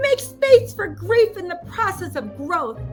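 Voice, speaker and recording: Someone uses a put-on character voice at a fairly slow pace while music plays clearly in the background. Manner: exaggerated, put-on.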